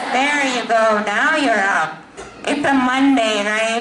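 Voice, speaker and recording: Noticeable background noise and audible room echo around a woman talking fairly slowly. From Pakistan. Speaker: cybersecurity manager, motivational speaker. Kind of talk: motivational talk to students.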